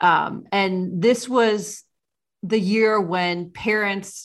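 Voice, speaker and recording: A woman with a Midwestern American accent is heard in a very clean recording with a silent background. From small-town Ohio. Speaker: podcast host. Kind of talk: podcast interview.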